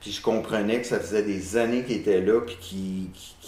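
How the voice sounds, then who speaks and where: In a room with audible echo, a man with a fairly low voice talks at a fairly quick pace and fairly even intonation. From Quebec, south of Montreal. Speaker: renovation contractor, community association president. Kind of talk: interview.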